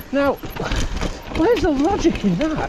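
A man at a fairly slow pace, dry sound with no echo, and noticeable background noise. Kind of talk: casual vlog chat while riding. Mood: annoyed rant, then joking. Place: forest. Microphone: helmet.

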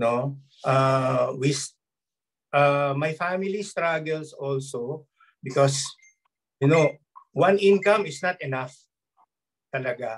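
Against a quiet background, a man with a fairly high pitch speaks at a very slow pace, leaving long, frequent pauses. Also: ordinary pitch variation. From Philippines. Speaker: former seaman, network marketer; speaker. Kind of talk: testimony. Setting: video call. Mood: earnest, grateful. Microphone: video call.

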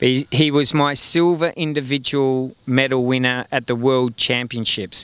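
A man speaks at a fairly slow pace with fairly even intonation. His sound is dry, with no echo. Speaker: interviewee. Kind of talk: interview answer. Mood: fond, reminiscing. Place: stadium. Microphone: handheld.

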